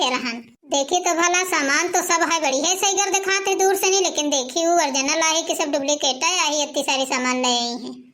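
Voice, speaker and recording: A woman does a cartoonish character voice at an extremely high pitch, talking at a fairly quick pace. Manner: complaining, sharp-tongued.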